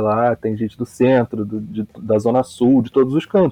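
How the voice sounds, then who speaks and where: A man speaks at a moderate pace. His pitch is medium, with fairly even intonation. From Rio de Janeiro, West Zone (Campo Grande). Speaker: football podcaster, podcast listener. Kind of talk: casual chat.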